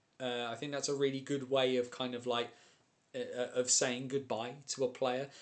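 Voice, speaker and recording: This man speaks with a British accent. His voice sits at a medium pitch. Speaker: ice hockey streamer and commentator. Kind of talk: live stream chat. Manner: fast; animated.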